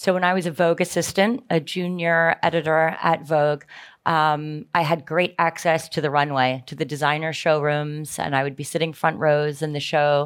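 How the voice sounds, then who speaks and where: A woman with an American accent and a very deep, low pitch speaks at a moderate pace with fairly even intonation. The recording is very clean, with a silent background. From United States. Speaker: fashion company co-founder and former magazine editor. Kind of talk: onstage interview at a conference.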